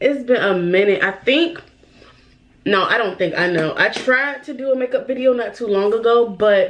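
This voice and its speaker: A woman talks at a moderate pace with lively intonation. Her pitch sits fairly high. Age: 20s. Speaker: beauty YouTuber. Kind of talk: casual chat. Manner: animated.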